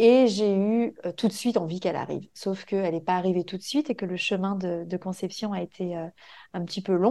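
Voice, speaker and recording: In a quiet background, a woman with a medium pitch and a dark, mellow tone talks at a moderate pace with fairly even intonation. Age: 30s. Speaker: mother sharing birth story. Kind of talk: testimony. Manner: halting.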